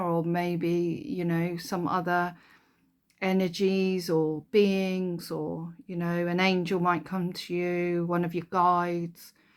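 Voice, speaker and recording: A woman speaks at a very slow pace. She has a slight Kent accent. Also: very clean recording, silent background. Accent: Kentish, slight. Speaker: spiritual card deck reviewer. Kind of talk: casual product flip-through. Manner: hesitant, many fillers.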